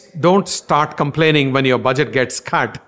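A man speaks with a fairly high pitch. His pace is fairly quick. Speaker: marketing executive. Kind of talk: interview. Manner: halting.

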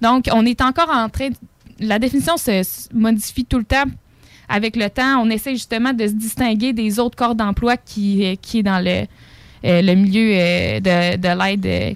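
In a normal speaking voice, a woman talks at a fairly slow pace with a fairly high pitch and ordinary pitch variation, the sound dry and close with no echo. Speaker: psychoeducator. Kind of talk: casual interview.

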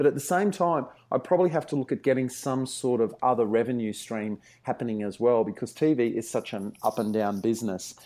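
A man with an Australian accent speaks at medium pitch and a fairly quick pace, with lively intonation. His tone is dark and mellow, in a very clean recording with a silent background. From Australia, Brisbane. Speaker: TV historian. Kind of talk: interview.

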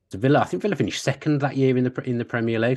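Against a quiet background, a man talks with a Birmingham accent. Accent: Birmingham (Brummie). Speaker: sports broadcaster and journalist. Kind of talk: casual chat.

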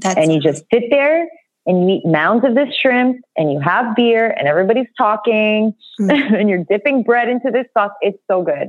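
This is a normal speaking voice, moving at a moderate pace with lively intonation. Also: woman, fairly high pitch for a woman. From Toronto, Canada. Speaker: writer and creative director. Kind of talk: casual chat.

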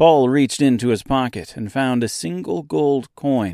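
In a very clean recording with a silent background, a man speaks in a dramatic tone. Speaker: podcast host and storyteller. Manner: theatrical, voicing characters with quivering, cracking or stern tones; measured storybook pacing, dramatic.

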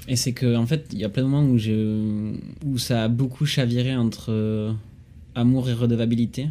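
His dark, mellow tone sits at a medium pitch as the man speaks with fairly even intonation. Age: 20s. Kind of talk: casual chat.

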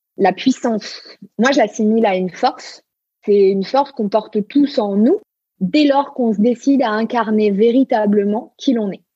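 At a moderate pace, a woman speaks with a fairly high pitch and ordinary pitch variation. Her tone is dark and mellow, and somewhat breathy. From Marseille, southern France. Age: 30s. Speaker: human design coach. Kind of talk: interview conversation. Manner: hesitant, repeats words.

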